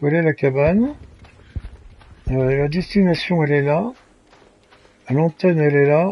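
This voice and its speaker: Over noticeable background noise, a man with a fairly high voice speaks at a fairly slow pace, with ordinary pitch variation and long, frequent pauses. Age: 70s. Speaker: gaming streamer. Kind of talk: live gameplay commentary. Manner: halting, many hesitations.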